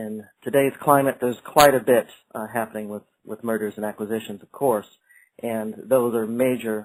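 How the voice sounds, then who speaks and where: An American accent marks this man's fairly low voice, which moves at a moderate pace in a monotone, flat intonation. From United States. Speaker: company executive presenting a webinar. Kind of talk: webinar presentation. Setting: online webinar. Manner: hesitant, many fillers.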